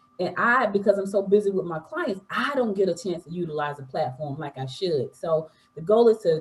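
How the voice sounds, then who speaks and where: Animated in tone, a woman speaks at a fairly low pitch with ordinary pitch variation and a somewhat breathy voice. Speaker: entrepreneur and podcaster. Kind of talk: interview. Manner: fast.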